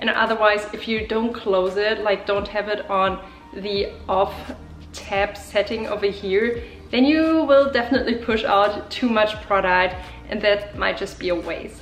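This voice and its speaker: A woman with a German accent, medium pitch and fairly slow pace, music in the background. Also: ordinary pitch variation. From Germany. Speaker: beauty YouTuber. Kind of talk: makeup tutorial talk to camera.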